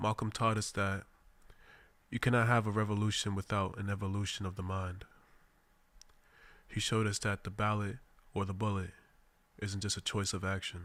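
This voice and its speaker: In an American accent, a man speaks at a fairly low pitch with monotone, flat intonation, a fairly quick pace and long, frequent pauses. The recording is very clean, with a silent background. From Boston, Mattapan. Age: 20s. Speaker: radio host. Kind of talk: radio monologue. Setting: radio studio. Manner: formal.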